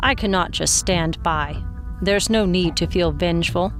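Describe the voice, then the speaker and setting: The speaker uses a put-on character voice at a middle pitch and a moderate pace. Clear music plays in the background. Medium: role play.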